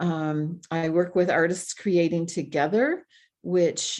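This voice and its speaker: With an American accent, a woman speaks at a fairly slow pace in a fairly low pitch. She has a normal speaking voice, heard over a quiet background. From Michigan (Grand Rapids). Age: 60s. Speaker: retired speech pathologist. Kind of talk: podcast interview.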